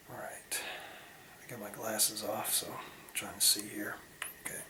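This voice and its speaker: Whispering in an American accent, a man is heard with audible room echo and noticeable background noise. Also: moderate pace. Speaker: video blogger. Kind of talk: casual vlog monologue. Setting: bathroom at night. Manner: quiet, hushed; halting, many fillers.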